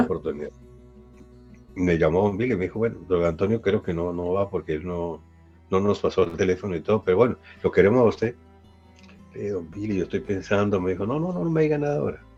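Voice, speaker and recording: Over background music, a man with a very deep, low voice talks at a very fast pace with lively intonation. Long, frequent pauses break up his speech. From Bogotá, Colombia. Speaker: radio news reader. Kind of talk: interview answer.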